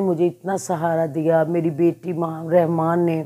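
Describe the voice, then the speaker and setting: Over a quiet background, a woman speaks very slowly in a fairly low voice with a dark, mellow tone. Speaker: channel host. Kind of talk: casual vlog chat. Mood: grieving, emotional. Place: home room. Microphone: phone near.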